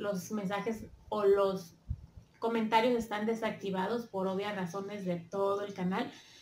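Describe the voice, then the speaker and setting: A woman talks at a fairly slow pace with flat, monotone intonation, light background noise and audible room echo. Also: medium pitch for a woman. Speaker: YouTube commentator. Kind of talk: casual talk to camera. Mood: earnest, a bit emotional. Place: home room. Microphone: phone near.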